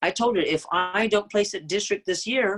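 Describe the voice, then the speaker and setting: A woman at medium pitch and moderate pace, in a normal speaking voice with lively intonation and a dry, close sound with no echo. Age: 60s. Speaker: public speaking contest finalist. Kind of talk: Q&A talk.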